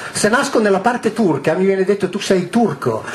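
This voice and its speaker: Speaking at a fairly quick pace with lively intonation, a man talks in a high pitch over light background noise. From northwest Italy near the French border. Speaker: author and public lecturer on ancient texts. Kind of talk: lecture to a live audience. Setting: hall with a large live audience. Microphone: headset.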